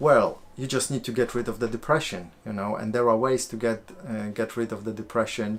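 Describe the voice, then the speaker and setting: Speaking at a moderate pace, a man with a Polish accent keeps his intonation fairly even. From Poland. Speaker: life coach and video creator. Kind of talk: live-stream Q&A. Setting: live stream on camera at home. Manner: halting, many fillers.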